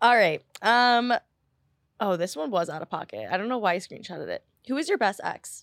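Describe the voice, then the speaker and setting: On a very clean recording with a silent background and dry, close sound with no echo, a woman speaks at a moderate pace with a fairly high pitch. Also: lively intonation. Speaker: podcast guest, host's sister. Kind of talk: casual chat. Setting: studio. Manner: quiet.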